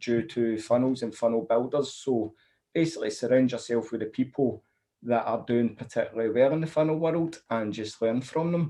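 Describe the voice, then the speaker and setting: A man with a Scottish accent, medium pitch, a dark, mellow tone, ordinary pitch variation and a moderate pace. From Scotland. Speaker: funnel builder. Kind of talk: interview.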